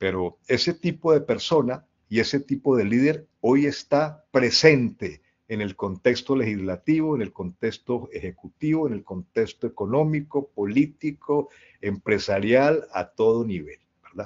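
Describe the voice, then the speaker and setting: At a fairly slow pace with lively intonation, this is a normal speaking voice. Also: man, medium pitch for a man. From Colombia. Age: 60s. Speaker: leadership speaker. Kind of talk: talk to an online audience.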